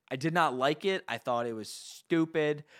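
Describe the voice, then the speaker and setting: Over a silent background in a very clean recording, a man with an American accent speaks at a moderate pace with a fairly high pitch and lively intonation, the sound dry and close with no echo. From New Jersey. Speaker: podcast co-host. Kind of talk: casual chat.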